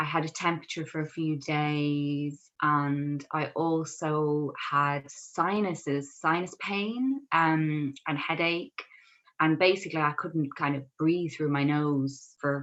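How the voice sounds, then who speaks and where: Speaking at a very slow pace in an Irish accent, a woman has a very deep, low pitch with ordinary pitch variation. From Ireland, Kildare. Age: 30s. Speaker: dietitian. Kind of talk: podcast interview, personal story.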